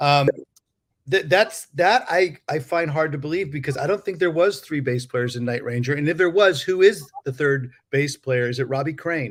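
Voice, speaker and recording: At a moderate pace, a man with a normal speaking voice talks fairly high in pitch and with ordinary pitch variation. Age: 50s. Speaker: podcast host and musician. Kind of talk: casual chat.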